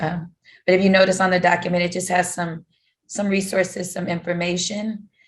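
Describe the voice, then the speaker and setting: A woman talks at a fairly quick pace in a flat monotone. Her voice is somewhat breathy. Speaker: professional development staff at a college. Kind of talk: conference presentation. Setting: video call. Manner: halting, many fillers.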